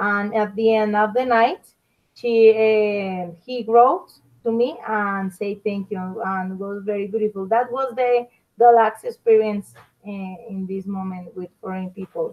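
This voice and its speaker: A woman with a Colombian accent speaks fairly slowly at a fairly high pitch, her intonation fairly even and her loudness swinging widely. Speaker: language student. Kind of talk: class discussion. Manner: halting.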